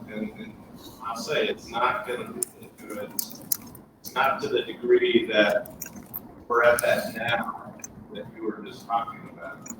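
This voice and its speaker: Very slow delivery from a man against noticeable background noise. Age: 60s. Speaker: physician on panel. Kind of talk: panel discussion.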